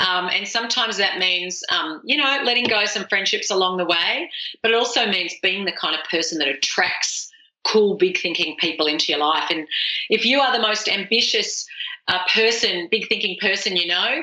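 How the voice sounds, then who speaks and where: Over noticeable background noise, a woman with an Australian accent talks at a moderate pace and medium pitch. Her intonation is lively while her loudness stays very even. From Australia, rural dairy farm. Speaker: author and speaker. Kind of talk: podcast interview. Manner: animated.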